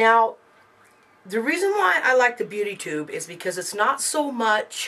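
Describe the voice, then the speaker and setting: A woman's bright, sharp tone at a moderate pace. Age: 40s. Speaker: beauty vlogger. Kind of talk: casual product review vlog. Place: home room.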